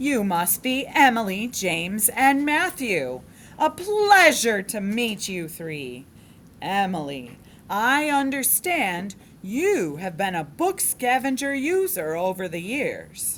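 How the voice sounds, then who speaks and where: A female-sounding put-on character voice swings very widely in pitch at a fairly high pitch. It moves at a fairly slow pace, with clear background noise. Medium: read story. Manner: warm, genial.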